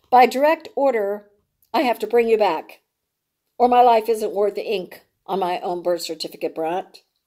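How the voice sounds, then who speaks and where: A put-on character voice, female-sounding, raspy and fairly high for a woman, at a moderate pace. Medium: read story. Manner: smug, menacing.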